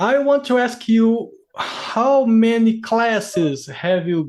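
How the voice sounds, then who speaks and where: A man speaks with a Brazilian accent. His pitch swings very widely. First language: Portuguese. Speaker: interviewer, English learner. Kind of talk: casual interview. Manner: halting.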